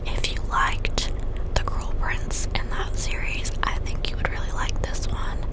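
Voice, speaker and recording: Whispering fairly slowly, a woman can be heard through noticeable background noise. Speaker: book reviewer. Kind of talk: ASMR book review. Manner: whispered.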